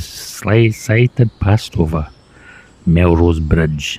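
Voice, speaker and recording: Very deep and low, a man's voice comes out dark, mellow and somewhat breathy, with lively intonation. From Scotland. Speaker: former river bailiff. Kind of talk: reading aloud from a book.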